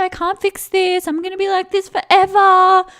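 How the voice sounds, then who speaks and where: A woman talks at a fairly slow pace. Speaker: spiritual mindset and weight loss coach. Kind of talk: podcast monologue. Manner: dramatic; casual, filler-heavy.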